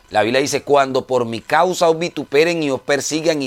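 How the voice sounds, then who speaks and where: Here a man speaks in a normal speaking voice. His pace is moderate and his pitch variation ordinary. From Colombia. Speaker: preacher. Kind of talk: sermon. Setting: radio broadcast.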